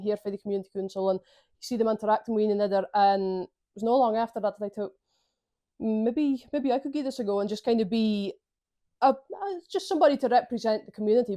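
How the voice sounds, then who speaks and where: Against a quiet background, a woman talks fairly quickly with a Shetland accent. Her pitch is fairly high and her intonation fairly even. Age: young. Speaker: community councillor. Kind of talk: interview answer.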